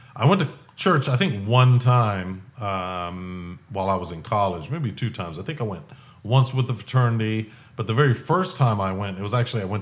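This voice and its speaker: A man talks at a fairly quick pace with lively intonation and a medium pitch. Audible room echo surrounds his voice. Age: 40s. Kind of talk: personal testimony monologue. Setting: home garage recording setup.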